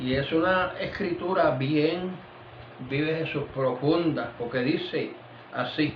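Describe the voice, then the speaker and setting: There is noticeable background noise and audible room echo. A man speaks at a fairly high pitch with ordinary pitch variation. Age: 70s. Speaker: pastor. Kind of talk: sermon. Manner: repeats 'vive Jesús' constantly; halting with fillers.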